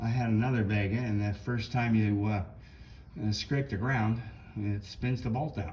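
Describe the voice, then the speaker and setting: There is noticeable background noise as a man with a fairly low pitch speaks with fairly even intonation. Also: moderate pace. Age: 70s. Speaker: car hobbyist. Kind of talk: casual walkaround video tour. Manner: hesitant, many fillers.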